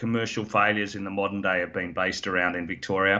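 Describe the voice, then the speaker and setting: A man with an Australian accent speaks at a fairly quick pace with ordinary pitch variation. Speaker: mining company executive and geologist. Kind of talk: interview.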